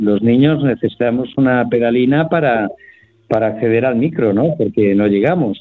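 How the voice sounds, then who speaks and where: A man talks with lively intonation. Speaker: retired voice actor. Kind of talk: interview. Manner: halting, many repetitions.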